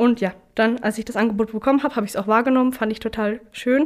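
Fairly quick and fairly even in intonation, a woman with a normal speaking voice and fairly high pitch is heard in a very clean recording with a silent background. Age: 20s. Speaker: trainee apprentice and training ambassador. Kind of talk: interview.

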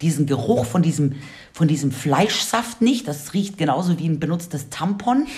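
Her intonation is lively as a woman talks at a moderate pace. She has a plain, everyday voice. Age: 40s. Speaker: radio podcast host. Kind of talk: casual chat.

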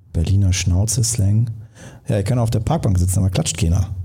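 A man with a fairly low pitch and ordinary pitch variation, with audible room echo. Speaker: podcast host and speaking coach. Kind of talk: live podcast conversation. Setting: stage with live audience.

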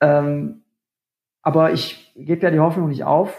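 Speaking at a very slow pace, a man uses a fairly high pitch. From Ruhr area, Germany. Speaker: rock musician and mayoral candidate. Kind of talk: casual interview.

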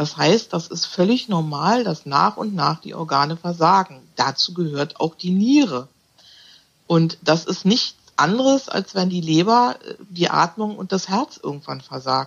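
A woman speaks fairly slowly in an unremarkable speaking voice. Her pitch is fairly low, and her intonation is lively. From Berlin. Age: 50s. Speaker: animal naturopath. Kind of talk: interview conversation.

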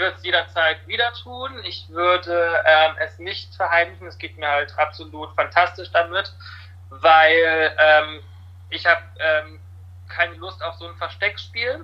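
Loudness swings widely in this man's voice. He speaks at a fairly slow pace. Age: 20s. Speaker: fitness studio service worker. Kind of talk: casual chat. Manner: hesitant, many fillers.

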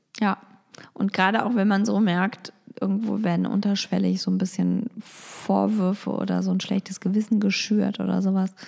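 A woman speaks at a very even loudness over noticeable background noise. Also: moderate pace. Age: 30s. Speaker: podcast co-host, editor and mother. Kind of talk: casual chat. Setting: recording at home.

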